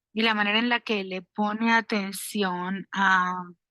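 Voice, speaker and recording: Against a quiet background, a woman with a fairly high pitch and a bright, sharp tone speaks with ordinary pitch variation, the sound dry and close with no echo. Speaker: dissertation committee member. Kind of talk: academic feedback at a dissertation defense.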